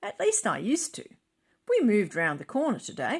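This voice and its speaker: Using a put-on character voice, a woman speaks loudly at a high pitch and a fairly quick pace. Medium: read story. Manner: loud, breezy.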